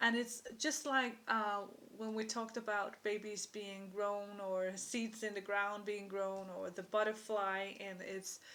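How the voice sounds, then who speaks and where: This woman has a non-native accent and a medium pitch. Her tone is bright and sharp. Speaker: intuitive card reader. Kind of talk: tarot-style card reading monologue. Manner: halting, with frequent fillers.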